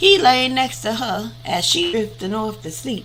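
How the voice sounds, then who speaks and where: A woman talks fairly slowly, with audible room echo and noticeable background noise around her voice. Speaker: audiobook reader on a live stream. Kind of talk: casual chat after reading aloud. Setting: live stream. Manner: conversational, with hesitations.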